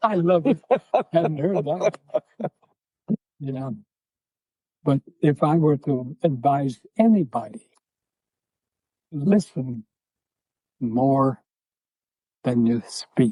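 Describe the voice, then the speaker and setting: A man speaks very slowly, with long, frequent pauses and lively intonation, at a fairly high pitch. His tone is dark and mellow, somewhat breathy, and the sound is dry and close with no echo. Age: 90s; old. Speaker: church member, former workshop leader. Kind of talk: interview answer, storytelling.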